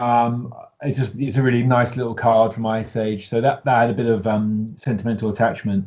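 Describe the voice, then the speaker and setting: Speaking fairly quickly with a British accent, a man holds a medium pitch and a flat, monotone intonation. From UK. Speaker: deck builder competing in card game contest. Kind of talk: casual interview chat. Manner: halting, many fillers.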